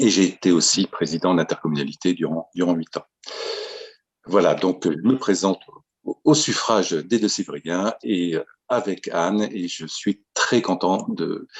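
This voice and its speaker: Long, frequent pauses in a man's very deep, low voice, fairly slow in pace and with ordinary pitch variation. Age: 50s. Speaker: local mayor and election candidate. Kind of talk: self-introduction.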